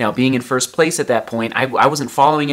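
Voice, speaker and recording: At a very fast pace, a man speaks with fairly even intonation. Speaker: runner vlogger. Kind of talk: casual vlog chat. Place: home room. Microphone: phone near.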